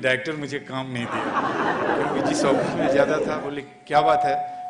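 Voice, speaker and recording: A man's fairly high voice comes through noticeable background noise and audible room echo. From Kolkata, West Bengal, India. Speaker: film actor. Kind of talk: speech at an event.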